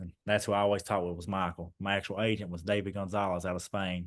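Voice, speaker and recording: A fairly low-pitched man with an Eastern Kentucky accent, at a fairly quick pace. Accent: Eastern Kentucky Appalachian. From Eastern Kentucky, Clay County. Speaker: former basketball player. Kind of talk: casual chat.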